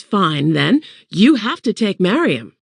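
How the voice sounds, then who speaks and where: Against a quiet background, a woman uses a medium-pitched put-on character voice at a fairly slow pace, her pitch swinging very widely. The sound is dry and close with no echo. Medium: read story. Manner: firm, no-nonsense.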